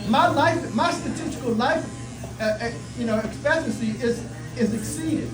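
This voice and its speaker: Through audible room echo and noticeable background noise, a man with an American accent speaks at a moderate pace. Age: 60s. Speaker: community activist. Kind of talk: community outreach speech. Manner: emphatic, repetitive.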